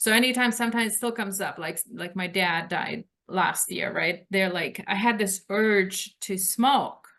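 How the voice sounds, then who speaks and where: A woman's medium-pitched, bright, sharp voice in a Lithuanian accent, with ordinary pitch variation and hardly any pauses. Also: moderate pace, big swings in loudness. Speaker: author. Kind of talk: interview.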